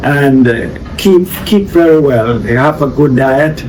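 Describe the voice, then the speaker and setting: A man with a fairly high pitch is heard with audible room echo and noticeable background noise. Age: 70s. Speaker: organic farmer. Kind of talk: interview.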